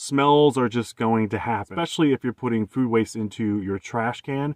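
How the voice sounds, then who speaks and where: Fairly even intonation from a man, quiet background behind him. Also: dry sound with no echo. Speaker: van dweller vlogger. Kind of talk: casual vlog chat. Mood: candid, lightly humorous. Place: car. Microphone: phone near.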